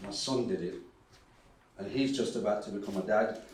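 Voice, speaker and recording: Room echo is audible as a man speaks fairly fast. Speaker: academic and dub poet. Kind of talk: conference talk.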